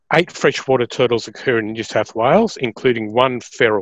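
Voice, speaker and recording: The man talks at a moderate pace, with a dry sound, no echo, and a quiet background. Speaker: presenter. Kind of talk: lecture. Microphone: webcam.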